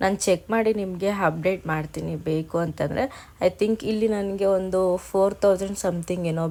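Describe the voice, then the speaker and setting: With a dark, mellow tone, a woman speaks at a fairly low pitch and with fairly even intonation. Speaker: vlogger. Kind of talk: vlog narration. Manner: casual.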